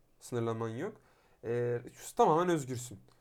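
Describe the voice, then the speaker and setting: At a moderate pace and medium pitch, a man speaks with ordinary pitch variation. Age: 20s. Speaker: podcast co-host. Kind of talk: casual chat.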